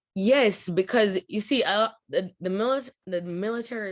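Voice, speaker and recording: A woman speaks with a Jamaican accent. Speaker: US military veteran and business owner. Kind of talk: interview answer.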